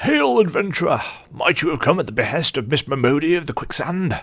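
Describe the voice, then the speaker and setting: A put-on character voice delivered at a fairly quick pace with ordinary pitch variation. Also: man, fairly high pitch for a man. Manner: hearty, greeting.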